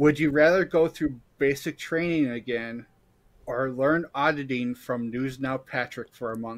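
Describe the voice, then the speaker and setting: A man has an unremarkable speaking voice at a medium pitch. He talks fairly slowly with fairly even intonation on a very clean recording with a silent background. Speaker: producer and co-host. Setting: live stream.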